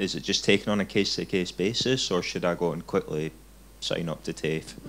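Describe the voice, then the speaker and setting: At a fairly quick pace, a man talks in a very deep, low pitch with ordinary pitch variation. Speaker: audience member asking a question. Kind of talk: question from the floor. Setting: live-streamed session with audience.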